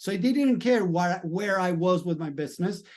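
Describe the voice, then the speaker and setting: Speaking at a moderate pace, a man with a Spanish accent uses a high pitch. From Latin America, Spanish-speaking country. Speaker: mindset coach. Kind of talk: video monologue.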